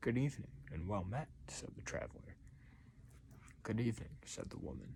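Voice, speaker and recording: This soft-spoken man talks with vocal fry. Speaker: storyteller. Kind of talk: reading aloud; casual chat. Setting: late at night.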